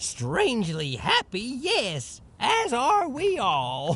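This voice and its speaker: A man puts on a character voice, pitched extremely high and delivered at a very slow pace. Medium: video game. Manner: giddy laughter over bitterness.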